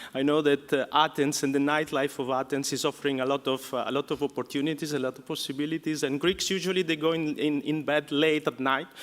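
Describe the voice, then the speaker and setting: The speaker has an Italian accent and a fairly quick pace. Intonation stays fairly even. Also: man. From Italy. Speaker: professor. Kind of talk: lecture. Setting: conference hall with audience. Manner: hesitant, many fillers.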